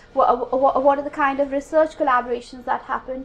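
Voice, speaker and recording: A woman with an Indian accent speaks at a fairly quick pace in a high pitch with monotone, flat intonation, over noticeable background noise. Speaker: academic researcher. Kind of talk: conference talk. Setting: conference room with audience. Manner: halting, many fillers.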